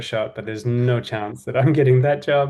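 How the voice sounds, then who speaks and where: In a New Zealand accent, a man speaks at a moderate pace and medium pitch. His pitch varies in an ordinary way against a quiet background. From New Zealand, Auckland. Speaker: design and innovation executive. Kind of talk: podcast interview. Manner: relaxed storytelling.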